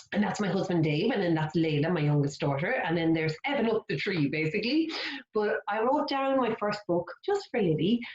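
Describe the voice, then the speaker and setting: A woman with a Kildare Irish accent speaks at a fairly quick pace and a medium pitch. Her pitch swings very widely while her loudness stays very even. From Ireland, County Kildare. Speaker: children's author. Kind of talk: storytime workshop for young children. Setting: online video workshop. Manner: animated.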